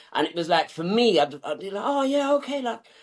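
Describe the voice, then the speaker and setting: A man with a South London accent talks at a fairly quick pace, his pitch swinging very widely. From southeast London, England. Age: 30s. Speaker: suit business owner. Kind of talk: podcast interview. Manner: casual, colloquial.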